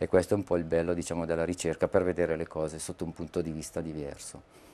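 Speaking at a very fast pace, a man has a very deep, low pitch. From northern Italy, Lecco area (Mandello del Lario). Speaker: aerial photographer. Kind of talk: interview. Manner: halting, with many fillers and repetitions. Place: studio. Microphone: lapel.

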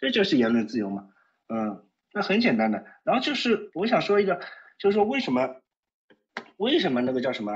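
Talking at a fairly quick pace with long, frequent pauses, a man uses vocal fry and a fairly high pitch that moves through very wide swings. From Shanghai. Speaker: caller. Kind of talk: casual chat. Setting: phone call. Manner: halting.

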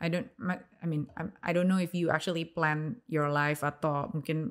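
Very deep and low, a woman's voice moves at a moderate pace with fairly even intonation. The background is quiet. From Indonesia. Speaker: podcast host. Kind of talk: casual interview chat; interview question. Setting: studio room. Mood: calm, curious. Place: studio. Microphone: studio mic.

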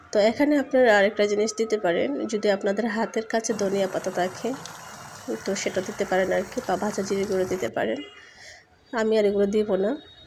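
A woman with fairly even intonation over noticeable background noise. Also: medium pitch for a woman. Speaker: cooking channel host. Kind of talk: cooking tutorial.

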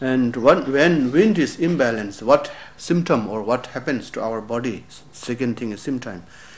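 A man speaks at a medium pitch and a fairly slow pace, with lively intonation and big swings in loudness. Room echo is audible. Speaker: lama and Tibetan medicine teacher. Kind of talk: lecture. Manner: halting.

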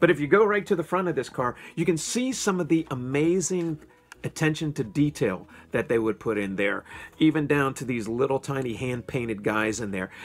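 Faint background music accompanies the speaker. He is a man speaking at a fairly quick pace. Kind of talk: casual vlog chat. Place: home room. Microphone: phone near.

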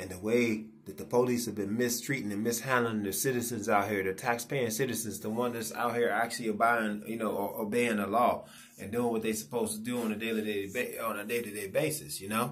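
A man's fairly quick delivery with fairly even intonation. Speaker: vlogger. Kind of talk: casual vlog rant. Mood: frustrated, indignant. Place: home room. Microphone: phone near.

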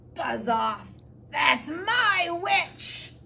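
This put-on character voice is extremely high, shrill, croaky and growling, with clear background noise. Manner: shouting.

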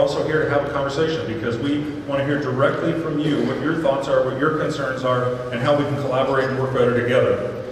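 A man talks at a very fast pace with fairly high pitch and monotone, flat intonation. Strong room echo and light background noise are present. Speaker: town hall facilitator. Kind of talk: event moderation. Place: stage.

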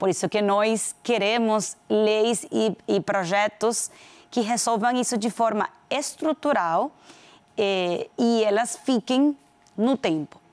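Speaking very slowly with a Venezuelan accent, a woman keeps her loudness very even and her pitch variation ordinary. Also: fairly high pitch for a woman. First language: Spanish (speaking Portuguese). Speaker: corporate executive; guest. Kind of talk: interview. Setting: studio. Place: studio. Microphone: lapel.

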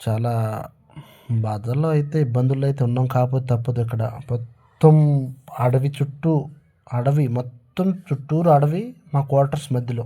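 Dark, mellow tone from a man at medium pitch, somewhat breathy, with fairly even intonation. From Andhra Pradesh, India. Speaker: soldier and vlogger. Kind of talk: casual vlog narration. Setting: outdoors at night in the cold. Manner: halting.

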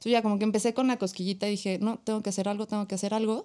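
A woman speaks at a medium pitch with a dark, mellow tone against a quiet background. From Mexico. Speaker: psychologist, suicide prevention foundation founder; podcast guest. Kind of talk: podcast interview. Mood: earnest, reflective. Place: studio. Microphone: studio mic.

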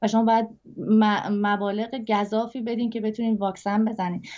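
A woman rushes along at a very fast pace in a monotone, flat intonation, her tone dark and mellow against a quiet background. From Iran. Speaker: singer; interview guest. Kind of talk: interview. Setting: video call. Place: home room. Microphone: video call.

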